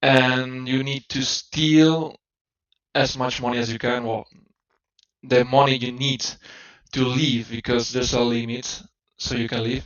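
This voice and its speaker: A man with a non-native accent, fairly slow, with monotone, flat intonation and long, frequent pauses. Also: medium pitch for a man. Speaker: game developer. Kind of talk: tutorial. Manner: halting, many fillers and restarts.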